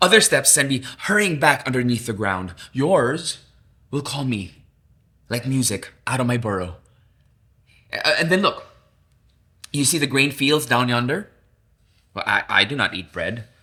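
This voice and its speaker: Lively intonation marks this man's medium-pitched voice, which has a bright, sharp tone. He leaves long, frequent pauses on a very clean recording with a silent background. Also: fairly slow pace. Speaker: theater actor. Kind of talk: dramatic literary reading. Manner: emotive, expressive.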